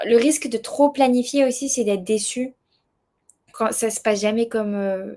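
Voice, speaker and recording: At a moderate pace broken by long, frequent pauses, a woman speaks in a dark, mellow tone with fairly high pitch and fairly even intonation. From southern France. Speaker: world traveller, association founder. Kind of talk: podcast interview. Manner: hesitant, many fillers.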